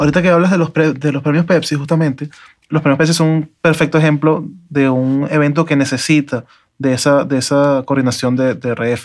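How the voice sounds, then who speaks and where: A man with an unremarkable speaking voice and a fairly high pitch talks at a fairly quick pace and very even loudness, on a very clean recording with a silent background. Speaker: podcast host. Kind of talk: interview.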